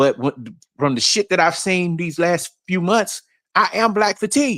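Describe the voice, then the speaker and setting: A man with a Southern accent and a high pitch talks at a fairly slow pace, his tone bright and sharp and his intonation lively, in a dry, close sound with no echo. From New York. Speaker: livestream panelist. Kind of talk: casual livestream discussion.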